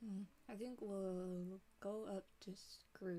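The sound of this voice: Fairly even intonation in an unforced reading voice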